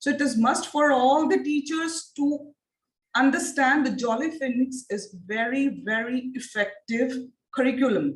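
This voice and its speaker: A woman speaks at a fairly slow pace. Her pitch is high. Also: ordinary pitch variation. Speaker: phonics teacher trainer. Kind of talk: online training lecture. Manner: repetitive, interactive questioning.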